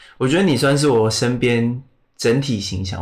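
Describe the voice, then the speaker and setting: A man's medium-pitched voice, somewhat breathy, shows ordinary pitch variation. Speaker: podcast host. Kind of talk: casual interview chat. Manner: slow.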